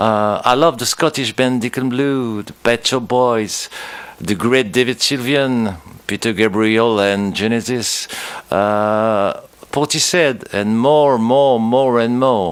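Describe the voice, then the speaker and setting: This man's voice sits at a medium pitch with ordinary pitch variation. He speaks at a very slow pace. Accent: French. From France. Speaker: musician. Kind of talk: interview.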